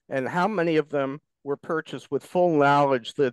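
In an American accent, a man speaks at a moderate pace with fairly high pitch and ordinary pitch variation. The sound is dry with no echo, over a quiet background. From Florida Keys; Florida. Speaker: concerned citizen. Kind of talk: public comment. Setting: video call. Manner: formal. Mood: critical, probing. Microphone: video call.

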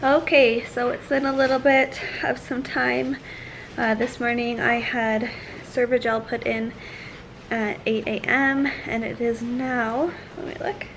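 Light background noise sits behind a woman's high voice. She speaks fairly slowly with fairly even intonation. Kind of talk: casual vlog chat. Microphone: phone near.

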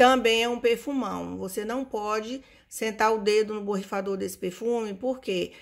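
A woman with an unremarkable speaking voice talks at a moderate pace in a fairly high pitch. Her intonation is fairly even against a quiet background. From Brazil. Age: 50s. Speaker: perfume reviewer. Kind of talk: casual vlog review. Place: home room. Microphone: phone near.

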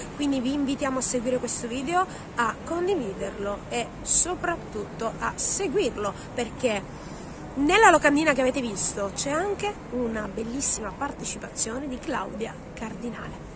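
A woman speaks at a high pitch and moderate pace, her voice swinging very widely in pitch. The sound is dry with no echo, though noticeable background noise is present. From Sicily. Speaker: video vlogger and tour group leader. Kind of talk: casual vlog commentary. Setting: outdoors at a cinema event. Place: street. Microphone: phone near.

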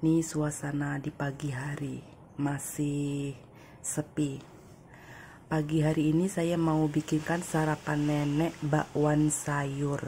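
Speaking at a very slow pace, a woman with a very deep, low pitch and a dark, mellow tone sounds somewhat breathy, her intonation monotone and flat. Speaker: domestic worker vlogger. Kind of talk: casual vlog, cooking. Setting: home kitchen.

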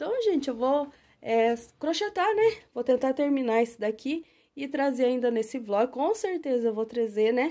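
In a very clean recording with a silent background, a woman speaks at a high pitch and a moderate pace, her tone dark and mellow and her intonation lively. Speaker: crochet artisan and YouTuber. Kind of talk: casual vlog tutorial. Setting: home workshop, filming with camera.

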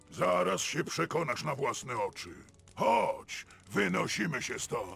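A put-on character voice at a fairly slow pace. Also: man. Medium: video game.

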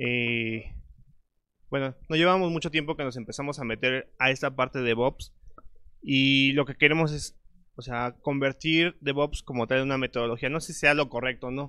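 Over a quiet background, a man speaks at a fairly high pitch in a bright, sharp tone. His intonation is fairly even and his pace moderate. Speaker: audience member; speaker. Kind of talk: Q&A question. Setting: stage with audience. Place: meeting room. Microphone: lapel.

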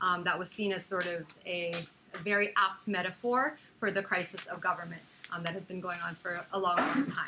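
A woman at a fairly quick pace with ordinary pitch variation, against noticeable background noise. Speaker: speaker. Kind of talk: lecture. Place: meeting room.

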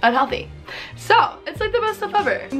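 A woman speaks fairly quickly while clear music plays behind her. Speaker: beauty vlogger. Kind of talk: casual vlog chat. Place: home room.

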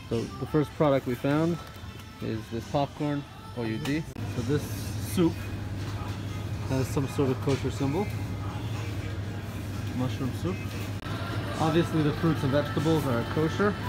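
Over music in the background, a man speaks at a fairly slow pace with long, frequent pauses. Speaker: travel vlogger. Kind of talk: casual vlog chat. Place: shop. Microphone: phone near.

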